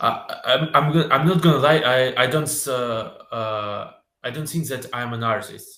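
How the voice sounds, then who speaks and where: At a moderate pace, a man with a Russian accent speaks in a bright, sharp tone with ordinary pitch variation. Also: medium pitch for a man. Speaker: filmmaker and video editor. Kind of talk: interview. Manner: halting.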